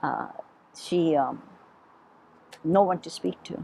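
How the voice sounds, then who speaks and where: A woman with a Hawaiian accent at a moderate pace. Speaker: Portuguese-American heritage storyteller. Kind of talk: oral history interview. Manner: conversational.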